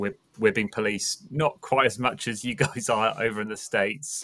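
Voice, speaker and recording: A man with a medium pitch and a bright, sharp tone speaks at a fairly slow pace. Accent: English. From England. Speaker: pastor. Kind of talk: casual chat.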